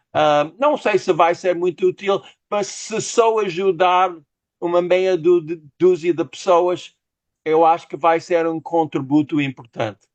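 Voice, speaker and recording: At a very slow pace, a man with an English accent speaks at a high pitch with ordinary pitch variation. The sound is dry and close with no echo, over a quiet background. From United States. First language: English (speaking Portuguese). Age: 60s. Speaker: novelist. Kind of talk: interview. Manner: halting.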